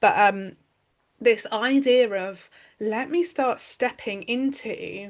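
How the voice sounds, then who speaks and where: A loud woman with a British accent and ordinary pitch variation, over a quiet background. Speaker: podcast host. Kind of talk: casual chat. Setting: recorded conversation with her coach. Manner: animated.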